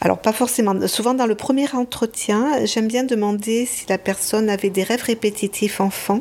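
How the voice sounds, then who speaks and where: At a moderate pace with hardly any pauses, a woman speaks in a fairly high pitch and fairly even intonation. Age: 60s. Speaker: psychiatrist and psychoanalyst. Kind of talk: interview testimony. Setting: host's home. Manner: hesitant, with repetitions.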